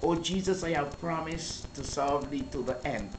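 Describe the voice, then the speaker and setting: Her voice is very deep and low, with ordinary pitch variation. The woman's recording has audible room echo and noticeable background noise. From Dominican Republic, sugarcane estate, of Saint Kitts parents. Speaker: church minister. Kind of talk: interview testimony. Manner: halting.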